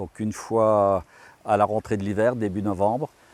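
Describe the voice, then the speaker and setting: A man at a medium pitch and moderate pace, with a dry, close sound, no echo and a quiet background. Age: 60s. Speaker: farmer. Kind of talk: interview. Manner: hesitant, with frequent fillers.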